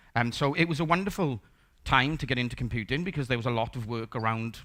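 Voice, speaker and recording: A man's Welsh accent with a bright, sharp tone, fairly quick pace and ordinary pitch variation, on a very clean recording with a silent background. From South Wales, Port Talbot. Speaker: conference speaker, software developer. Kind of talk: conference talk. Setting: stage with audience. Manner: casual, conversational.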